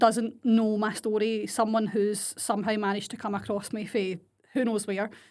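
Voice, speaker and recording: Woman with a strong Glasgow accent at medium pitch, on a very clean recording with a silent background. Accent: strong Scottish (Glaswegian). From Scotland, Glasgow area (Blantyre). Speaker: podcast host and business coach. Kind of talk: solo podcast monologue. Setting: home desk. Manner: casual, mixes Scots and English.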